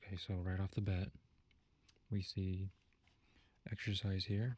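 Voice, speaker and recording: A soft-spoken man talks at a fairly slow pace in a fairly low pitch. His voice is somewhat breathy and his intonation stays monotone and flat. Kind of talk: ASMR teacher roleplay, soft-spoken feedback.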